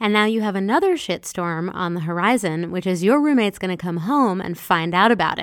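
Delivered at a fairly quick pace with hardly any pauses, a plain, everyday voice comes through on a very clean recording with a silent background. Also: woman, medium pitch for a woman, ordinary pitch variation. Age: 40s. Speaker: podcast host and self-help author. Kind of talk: solo podcast monologue. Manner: casual with filler words.

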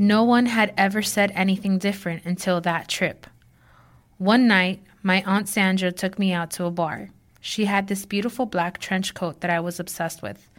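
A woman with an ordinary speaking voice talks at a moderate pace, medium pitch and fairly even intonation on a very clean recording with a silent background. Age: 30s. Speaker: writing student. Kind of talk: reading aloud.

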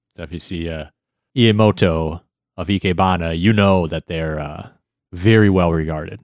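A man with a very deep, low voice keeps a moderate pace and fairly even intonation. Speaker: podcast co-host. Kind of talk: casual chat.

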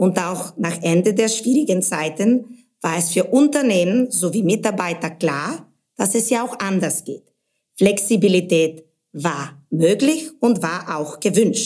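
Speaking very slowly in a Bulgarian accent, a woman uses a medium pitch and lively intonation. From Bulgaria, Sofia. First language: Bulgarian (speaking German). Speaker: brand manager. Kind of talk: interview podcast.

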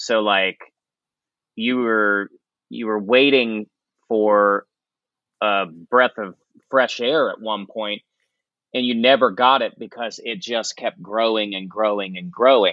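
With an American accent, a man talks very slowly at a medium pitch, using ordinary pitch variation and long, frequent pauses. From West Virginia. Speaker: singer-guitarist. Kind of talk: casual interview chat.

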